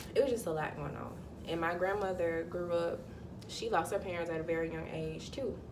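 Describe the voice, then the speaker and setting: In a Southern US accent, a woman talks at a fairly quick pace and fairly low pitch with ordinary pitch variation, with audible room echo. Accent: Southern US (Georgia). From US South, Georgia. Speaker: spiritual vlogger. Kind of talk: casual vlog monologue. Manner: animated; halting, self-correcting.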